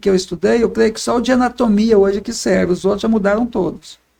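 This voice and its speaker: This man's voice sits high in pitch and has a dark, mellow tone. He talks at a fairly quick pace. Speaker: obstetrician. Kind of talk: casual interview.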